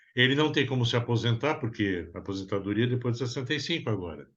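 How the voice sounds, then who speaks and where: The man talks at a very fast speed. His pitch sits in the medium range. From Brazil. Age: 60s. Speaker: psychoanalyst therapist. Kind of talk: interview conversation.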